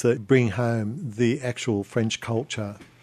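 The voice has a dark, mellow tone and speaks with an Australian accent. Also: man. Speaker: radio travel presenter. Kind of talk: radio interview. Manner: hesitant, repeats words.

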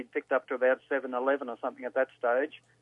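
A man speaks with an Australian accent. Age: 70s. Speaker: caller. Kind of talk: casual phone call. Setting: phone call.

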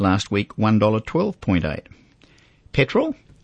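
A man speaks at a fairly low pitch with an Australian accent. His pace is very slow. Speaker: finance radio host. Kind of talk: radio talkback.

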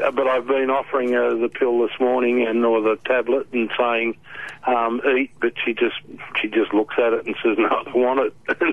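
Speaking at a moderate pace in an Australian accent, a woman has a very deep, low voice, flat monotone intonation and very even loudness. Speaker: caller. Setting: phone call.

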